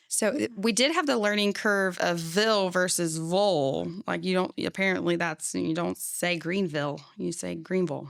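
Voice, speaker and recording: Captured in a very clean recording with a silent background, a woman with an American accent speaks at a moderate pace with hardly any pauses. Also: fairly low pitch for a woman, lively intonation. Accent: slight Southern, heard by others. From Florida, partly Pennsylvania. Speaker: childcare business owner. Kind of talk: casual chat.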